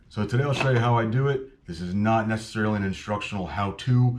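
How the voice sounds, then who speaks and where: A man at a very fast pace, fairly low pitch and ordinary pitch variation, with noticeable background noise. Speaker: fishing hobbyist. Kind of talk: tutorial. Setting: garage. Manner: casual.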